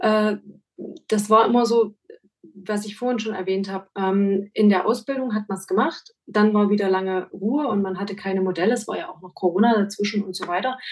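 With a normal speaking voice, a woman talks fairly quickly at medium pitch, her intonation fairly even. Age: 40s. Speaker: make-up artist and photographer. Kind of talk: interview.

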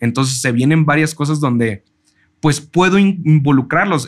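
A man at a fairly quick pace with ordinary pitch variation, on a very clean recording with a silent background. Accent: Mexican. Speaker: chef and food content creator. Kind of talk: casual interview chat.

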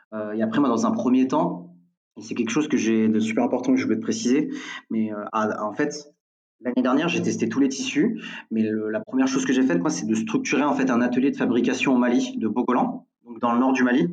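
Room echo is audible around this voice. A man speaks at a fairly quick pace. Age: 20s. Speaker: entrepreneur. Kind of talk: interview. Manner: halting.

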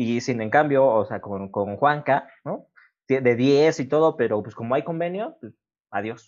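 An unremarkable speaking voice from a man at medium pitch, with ordinary pitch variation, a fairly slow pace and big swings in loudness. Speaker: podcast host. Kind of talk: casual chat.

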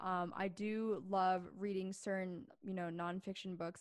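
Speaking in a normal speaking voice with an American accent, a woman keeps a medium pitch and a moderate pace. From Pennsylvania, US. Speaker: podcaster and business consultant. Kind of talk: casual chat.

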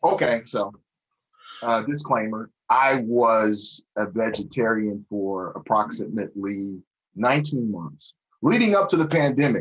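In an American accent, a plain, everyday voice moves at a fairly slow pace with lively intonation. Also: man, medium pitch for a man. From US Pacific Northwest, Tacoma, Washington. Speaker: music producer. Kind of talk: casual chat.

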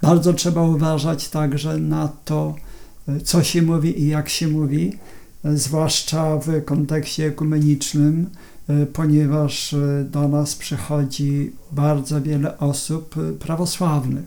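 A man with a fairly high voice speaks very slowly in a dark, mellow tone. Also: fairly even intonation. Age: 60s. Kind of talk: interview. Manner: halting, with repetitions and fillers.

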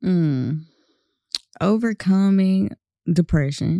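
In a dry, close recording with no echo, a woman with a Southern US accent speaks at a very slow pace in a dark, mellow tone with fairly even intonation. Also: very clean recording, silent background. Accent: Southern US, country. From North Carolina, US. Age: 20s. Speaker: guest, campaign participant. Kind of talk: casual interview chat.

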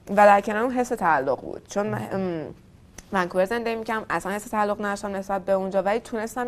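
Her delivery comes at a very fast pace. The woman's pitch sits at a medium level and moves with ordinary variation. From Tehran, Iran. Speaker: startup founder. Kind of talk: interview.

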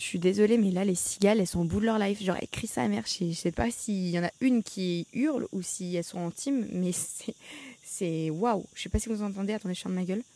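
A woman speaks at a fairly quick pace. Her pitch sits in the middle range and varies in an ordinary way. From France. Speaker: podcaster. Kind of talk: casual monologue. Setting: outdoors in her garden. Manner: casual, self-correcting.

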